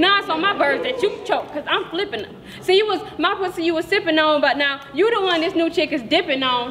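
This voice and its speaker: A furious woman's voice at an extremely high pitch, fairly quick, over light background noise. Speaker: slam poet. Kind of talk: spoken word poetry slam performance. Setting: stage with audience. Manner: rhythmic, rhyme-driven delivery building from flirtatious to furious; confrontational, profane, defiant kiss-off tone. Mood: angry, scornful. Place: hall. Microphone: camera far.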